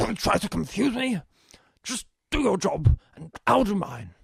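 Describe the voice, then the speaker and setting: A man's put-on character voice, high-pitched and raspy, with very wide pitch swings and big swings in loudness, at a moderate pace. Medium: audio drama. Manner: flustered, stammering.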